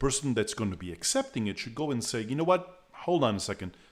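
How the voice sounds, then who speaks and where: A man with a non-native accent talks at a fairly quick pace. The recording is very clean, with a silent background. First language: not English. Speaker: meetup organizer and presenter. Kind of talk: tutorial. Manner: halting, many repetitions.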